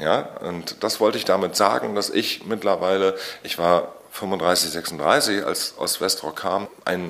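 Through noticeable background noise, a man talks with a fairly low pitch. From Usedom, northeastern Germany (Mecklenburg-Vorpommern). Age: 40s. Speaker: musician, singer-songwriter. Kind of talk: interview. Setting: studio, face to face.

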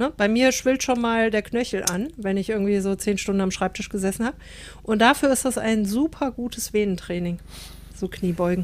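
A woman's normal speaking voice, fairly high in pitch, with ordinary pitch variation at a moderate pace. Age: 50s. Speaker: podcast co-host. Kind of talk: casual chat.

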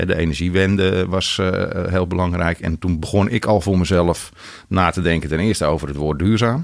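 Speech moves at a moderate pace. The intonation stays fairly even. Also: man, very deep, low pitch for a man. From Netherlands, rural North Holland. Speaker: wholesale business founder. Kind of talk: interview. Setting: studio. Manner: hesitant with many filler sounds.

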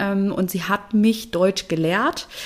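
A woman talks at a fairly slow pace with noticeable background noise around her. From Germany. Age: 30s. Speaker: engineer and conference organiser. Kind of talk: interview.

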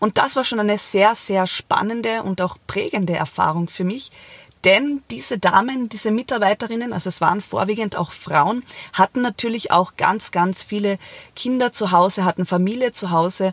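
Using ordinary pitch variation, a woman with a medium pitch speaks at a moderate pace. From Austria, Carinthia. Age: 30s. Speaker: podcast host, entrepreneur and single mother. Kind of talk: solo podcast monologue.

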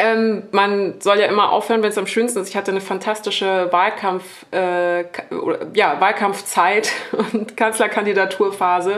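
A woman's flat, monotone delivery at a moderate pace over noticeable background noise. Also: medium pitch for a woman. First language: French (bilingual with German) (speaking German). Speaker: media critic. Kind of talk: live podcast panel discussion.

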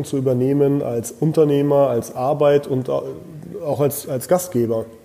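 There is noticeable background noise behind this man. His pitch sits in the middle range and his intonation is fairly even. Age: 30s. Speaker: restaurant owner. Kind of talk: interview.

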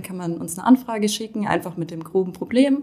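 This voice is somewhat breathy, with a dark, mellow tone. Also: woman. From Rhineland-Palatinate, Germany. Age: 20s. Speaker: law student. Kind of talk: casual interview.

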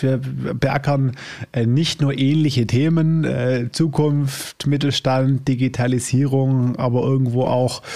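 The pace is very slow. This man's voice sits at a medium pitch. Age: 30s. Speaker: podcast host. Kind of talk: interview. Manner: casual, filler words.

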